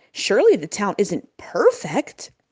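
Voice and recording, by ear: A woman's put-on character voice, medium in pitch, dark and mellow with a slightly husky edge, moving at a fairly slow pace through very wide pitch swings.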